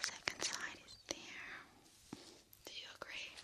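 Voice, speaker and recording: Over loud background noise, a soft-spoken woman whispers at a fairly slow pace. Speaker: ASMR creator. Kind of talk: soft-spoken ASMR chat. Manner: soft close ear-to-ear whisper. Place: home room. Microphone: studio mic.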